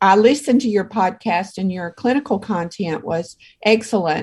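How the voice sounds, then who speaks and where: Somewhat breathy, a woman talks with ordinary pitch variation. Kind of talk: casual interview chat.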